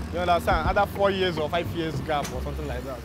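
A man speaks in a dry setting with no echo. Clear music plays behind him. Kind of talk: interview answer. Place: street. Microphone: lapel.

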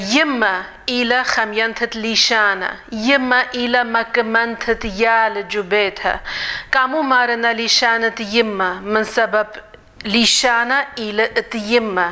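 A woman speaks very slowly in a fairly high voice, with very even loudness and fairly even intonation. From Russia. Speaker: Assyrian community member; holiday greeting host. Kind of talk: holiday greeting speech. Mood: warm, festive. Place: home room. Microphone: lapel.

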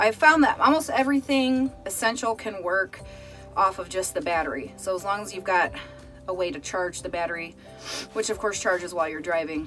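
Over music in the background, a woman at medium pitch talks at a fairly quick pace with very wide pitch swings. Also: big swings in loudness. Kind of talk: casual trailer tour to camera.

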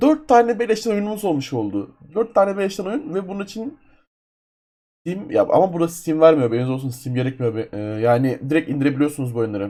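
A dark, mellow tone at a fairly quick pace, with very wide pitch swings. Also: man. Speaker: gaming YouTuber. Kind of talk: screen-capture tutorial. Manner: casual, loose.

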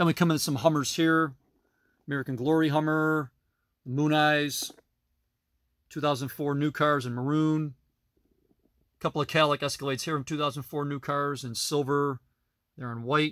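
A man's flat, monotone delivery with long, frequent pauses, dry sound with no echo and a quiet background. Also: moderate pace. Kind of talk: casual collection tour narration. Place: home room. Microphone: phone near.

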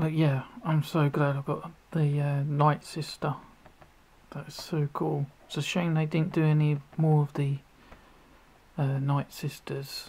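A man's somewhat breathy, fairly high voice, fairly slow and flat in a monotone, broken by long, frequent pauses. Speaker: toy collector vlogger. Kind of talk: unboxing video.

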